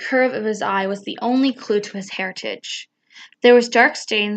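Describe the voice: The text is given a plain reading aloud with a quiet background.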